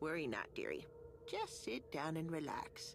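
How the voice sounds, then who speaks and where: A woman speaks in a put-on character voice. Clear background noise is heard. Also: moderate pace. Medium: video game. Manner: sugary, calls others dearie.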